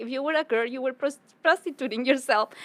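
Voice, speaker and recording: A woman speaks with a Spanish accent and lively intonation. The sound is dry and close, without echo. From Ecuador (Quito). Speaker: public speaker and community advocate. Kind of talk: podcast interview. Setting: business club venue.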